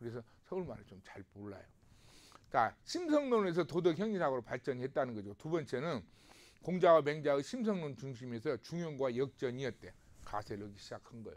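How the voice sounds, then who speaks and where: This man talks at a fairly quick pace with lively intonation. His loudness swings widely. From South Korea, Namwon, North Jeolla. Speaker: professor. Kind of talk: lecture. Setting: recorded video lecture. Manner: conversational, with frequent rhetorical questions.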